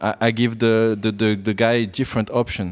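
Speaking with a French accent, a man delivers his words at a moderate pace and a medium pitch. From France. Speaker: bonsai professional. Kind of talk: interview. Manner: halting.

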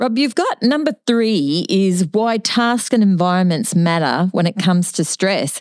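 In an Australian accent, a woman of medium pitch speaks at a fairly slow pace with very even loudness and hardly any pauses, in a dry, close sound with no echo. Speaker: nursing podcast co-host. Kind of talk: podcast interview.

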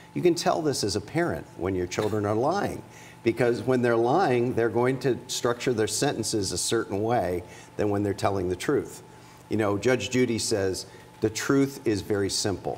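A plain, everyday voice: a man at medium pitch, moderate pace and lively intonation. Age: 50s. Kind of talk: casual interview.

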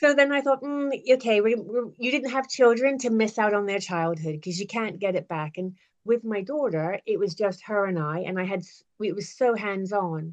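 With a Bermudian accent, a woman speaks at a moderate pace and medium pitch. Her intonation is lively. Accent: Bermudian-tinged English, non-UK. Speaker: business owner, virtual assistant. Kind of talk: interview, business chat. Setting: video call.

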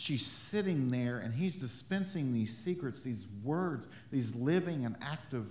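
A man talks fairly slowly at a medium pitch with lively intonation. There is audible room echo. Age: 30s. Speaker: pastor. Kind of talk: sermon. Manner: halting.

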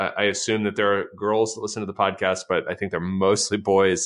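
Talking at a fairly quick pace, a man uses an unremarkable speaking voice pitched fairly low. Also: quiet background. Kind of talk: casual chat. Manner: deadpan.

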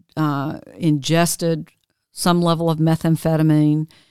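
In a Southern US accent, the speech comes at a very slow pace with monotone, flat intonation, the sound dry and close with no echo. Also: woman, very clean recording, silent background. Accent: Southern US (Georgia). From US South, LaGrange, Georgia. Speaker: tech entrepreneur and bereaved mother. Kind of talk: interview, personal story.

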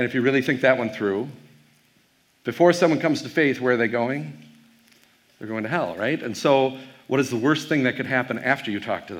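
A man's medium-pitched voice in an American accent, fairly quick pace, ordinary pitch variation and long, frequent pauses. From Wisconsin. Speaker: pastor and professor. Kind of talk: keynote talk to youth audience. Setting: stage with audience. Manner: fast; casual with frequent fillers.

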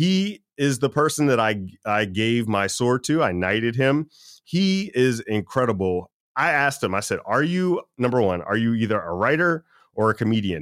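A man speaks at a moderate pace with very wide pitch swings and very even loudness. The sound is dry and close with no echo, on a very clean recording with a silent background. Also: medium pitch for a man. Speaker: podcast host. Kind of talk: casual interview chat. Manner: upbeat, enthusiastic.

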